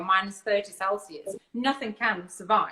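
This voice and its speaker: A woman speaks at a moderate pace with a Russian accent. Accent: Russian-sounding. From Lithuania (born in Siberia). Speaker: barbecue food business owner. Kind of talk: interview on live stream. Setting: live video stream.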